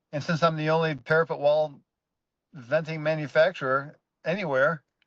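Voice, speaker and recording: This man speaks at a moderate pace with a fairly high pitch and a monotone, flat intonation. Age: 60s. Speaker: building contractor and vent manufacturer. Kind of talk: interview. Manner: halting, many restarts.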